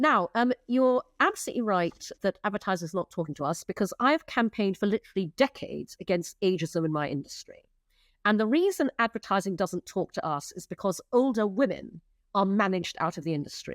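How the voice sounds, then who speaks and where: In an unremarkable speaking voice, a woman talks fairly quickly at medium pitch, the recording very clean with a silent background and a dry, close sound with no echo. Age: 60s. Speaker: advertising executive and entrepreneur. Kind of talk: interview conversation.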